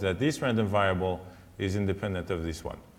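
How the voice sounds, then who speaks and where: Audible room echo surrounds this man's voice as he talks. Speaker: statistics professor. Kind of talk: lecture. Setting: conference talk. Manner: halting.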